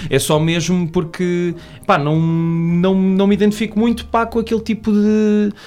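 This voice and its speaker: A man speaks at a fairly slow pace with a high pitch. His loudness stays very even, and his intonation is fairly even too. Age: 20s. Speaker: podcaster and film production assistant. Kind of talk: casual chat.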